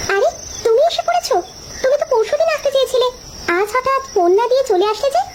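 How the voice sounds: A squeaky, cartoonish character voice from a woman, extremely high in pitch, at a fairly quick pace.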